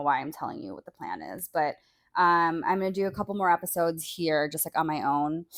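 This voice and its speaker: A woman in a normal speaking voice, fairly low in pitch, talks fairly quickly with fairly even intonation and big swings in loudness, in a very clean, dry, close recording with a silent background and no echo. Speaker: solo podcaster. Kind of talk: casual solo podcast monologue. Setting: bedroom, on a bed. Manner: casual, filler-heavy.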